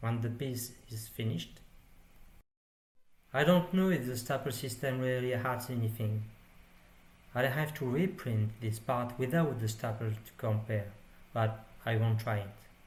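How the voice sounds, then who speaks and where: A man speaks at a fairly slow pace with long, frequent pauses, his voice somewhat breathy. His pitch sits in the medium range with ordinary variation, and audible room echo surrounds him. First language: French. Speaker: 3D printing hobbyist. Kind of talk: tutorial.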